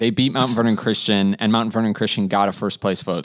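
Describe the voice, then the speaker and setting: A man speaks at a fairly quick pace with a fairly low pitch, in an ordinary speaking voice. The recording is very clean, with a silent background. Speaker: sports editor.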